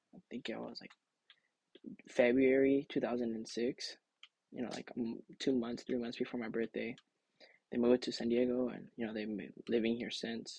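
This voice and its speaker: Speaking with an American accent at a moderate pace, a man talks in a monotone, flat way with long, frequent pauses and big swings in loudness, the sound dry and close with no echo. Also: medium pitch for a man. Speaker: podcaster. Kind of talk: casual monologue. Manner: halting.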